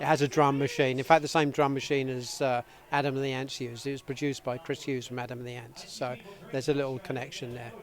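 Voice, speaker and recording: Over noticeable background noise, a man talks very fast in a British accent at a medium pitch. His intonation is monotone and flat, and his loudness swings widely. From North London, England. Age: 60s. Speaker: rockabilly band lead singer. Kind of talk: interview. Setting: backstage at music festival.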